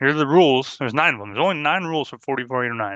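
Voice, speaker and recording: A man speaks at a medium pitch with a bright, sharp tone. The sound is dry and close with no echo, over a quiet background. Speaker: drone flight instructor. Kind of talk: webinar presentation. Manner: fast.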